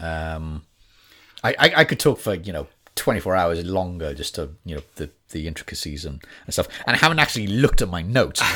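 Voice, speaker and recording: In a very clean recording with a silent background, a man with a Welsh accent speaks fairly quickly in a very deep, low voice with a bright, sharp tone, ordinary pitch variation and big swings in loudness. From Wales. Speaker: actor and voice artist. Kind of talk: casual chat. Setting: studio.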